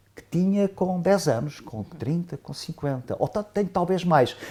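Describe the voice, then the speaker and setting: This man's voice has vocal fry. Its tone is dark and mellow. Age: 70s. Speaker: professor, economist. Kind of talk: panel discussion. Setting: round table with audience. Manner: halting, many fillers.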